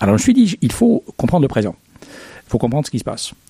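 A man speaks at a fairly quick pace, with noticeable noise behind him. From Egypt. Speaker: history professor. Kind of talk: interview. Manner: halting.

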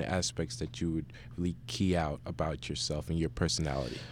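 A man with an American accent speaks at a moderate pace in a very deep, low pitch with vocal fry. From New Jersey, South Orange. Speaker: university student. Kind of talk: radio interview. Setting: radio studio. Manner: halting.

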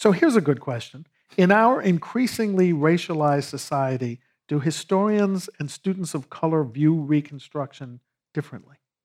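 A plain, everyday voice talks at a moderate pace with lively intonation. The recording is very clean, and the background is silent. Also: man, fairly high pitch for a man. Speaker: historian and panel moderator. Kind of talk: moderated panel discussion. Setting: stage with audience.

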